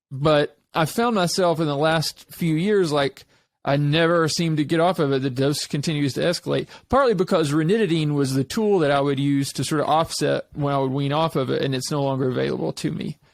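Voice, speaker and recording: With hardly any pauses, a man with an American accent talks at a fairly quick pace in a fairly high pitch. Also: ordinary pitch variation, very clean recording, silent background. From Eastern Kentucky, US. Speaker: podcast host, real estate agent. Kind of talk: casual interview conversation.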